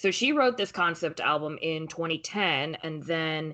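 A woman with a plain, everyday voice speaks at a fairly slow pace, her fairly low pitch showing ordinary variation. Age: 20s. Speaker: podcast co-host. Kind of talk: casual chat.

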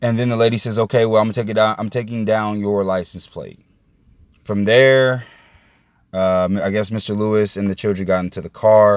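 On a very clean recording, silent background, a man with an American accent talks at a fairly quick pace and a fairly low pitch, in monotone, flat intonation. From Indiana, US Midwest. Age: 20s. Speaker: podcast host. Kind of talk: solo monologue commentary. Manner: calm, measured.

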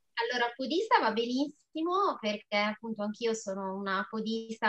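A woman's ordinary speaking voice, fairly high in pitch, at a moderate pace, dry and close with no echo. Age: 40s. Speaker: amateur runner and food therapist. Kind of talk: casual interview.

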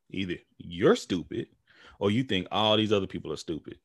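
Recorded very cleanly with a silent background and a dry, close sound with no echo, a man uses a plain, everyday voice, fairly low in pitch with ordinary pitch variation, at a fairly quick pace. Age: 30s. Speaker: podcast host appearing as guest. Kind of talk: casual chat.

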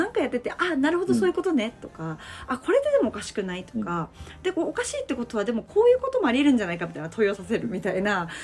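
A woman speaks very fast with a high pitch and very wide pitch swings. Noticeable background noise runs underneath. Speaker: education entrepreneur. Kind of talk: casual chat.

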